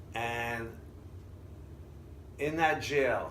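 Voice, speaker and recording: A somewhat breathy man with an American accent uses lively intonation, and audible room echo surrounds his voice. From Israel. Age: 60s. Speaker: immigrant interviewee. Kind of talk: interview storytelling.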